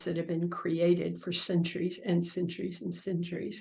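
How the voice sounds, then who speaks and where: Over a quiet background, a woman speaks with a fairly low pitch and vocal fry. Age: 70s. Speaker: visionary speaker and author. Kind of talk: interview.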